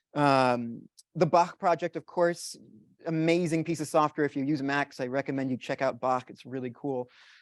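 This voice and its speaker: Heard dry and close with no echo, a man speaks in a fairly high voice. His intonation is fairly even. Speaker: university IT staff and composer giving a guest talk. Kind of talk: lecture. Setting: lecture hall with audience. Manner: fast; filler-heavy.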